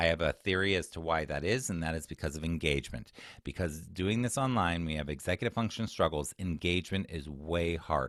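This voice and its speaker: A man talks at a fairly quick pace with hardly any pauses. His pitch is very deep and low, with ordinary pitch variation. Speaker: executive function coach and former teacher. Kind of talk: webinar presentation. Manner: fast.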